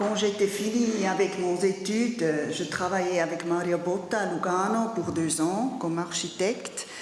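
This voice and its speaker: In a German accent, a woman speaks very slowly. Audible room echo and noticeable background noise fill the recording. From Zurich, Switzerland. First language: German (speaking French). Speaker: artist and architecture teacher. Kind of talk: conference talk. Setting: study day lecture with audience. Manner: halting, with hesitations.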